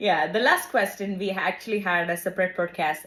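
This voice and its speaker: A woman's fairly low-pitched voice with a non-native accent. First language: not English. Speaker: podcast co-host. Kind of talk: casual chat.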